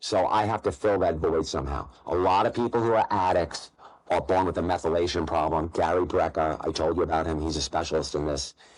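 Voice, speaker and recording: Against a quiet background, a man with a New York accent speaks at a very deep, low pitch and a fairly quick pace, with ordinary pitch variation. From New York, Long Island (Nassau County). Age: 40s. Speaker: gambling content creator. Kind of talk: interview. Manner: fast.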